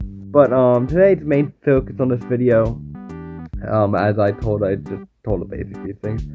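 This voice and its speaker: A man speaks at a fairly low pitch. Music plays behind him. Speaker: Minecraft YouTuber. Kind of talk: casual talk to camera.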